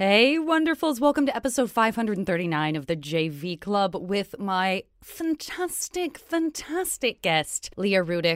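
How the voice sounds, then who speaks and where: A put-on character voice sounds female, nasal and medium in pitch for a woman. It moves at a fairly slow pace with very wide pitch swings. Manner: fake, put-on, joking.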